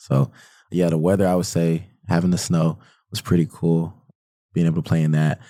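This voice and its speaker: A man with an American accent speaks at a fairly quick pace in a very deep, low voice, his tone dark and mellow and his intonation fairly even. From US South, Atlanta. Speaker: college student. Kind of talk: podcast interview. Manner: casual.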